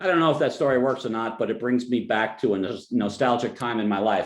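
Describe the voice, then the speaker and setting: A man with a New Jersey accent speaks at a moderate pace with lively intonation. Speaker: financial advisor. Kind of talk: webinar presentation. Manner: halting, many fillers and restarts.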